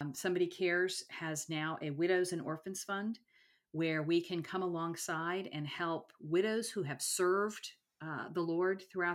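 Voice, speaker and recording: A woman with an ordinary speaking voice, fairly low pitch and ordinary pitch variation at a moderate pace, on a very clean recording with a silent background. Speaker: podcast host. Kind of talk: interview, faith conversation.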